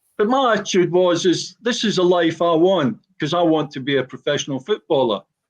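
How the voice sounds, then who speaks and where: At a fairly slow speed, a man talks with pitch that rises and falls normally. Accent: Glaswegian. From Scotland, Glasgow (Gorbals). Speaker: former professional footballer. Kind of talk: personal statement in podcast. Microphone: frozen video connection.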